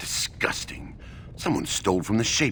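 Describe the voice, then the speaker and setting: A man performs a put-on character voice. Clear background noise is present. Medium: video game. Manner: contemptuous.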